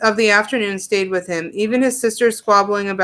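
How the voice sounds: The voice reads naturally. Nothing about the reading sounds forced.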